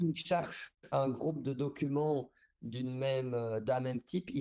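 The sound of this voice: The speaker keeps a moderate pace and fairly even intonation, with a slightly mellow tone and vocal fry. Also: man.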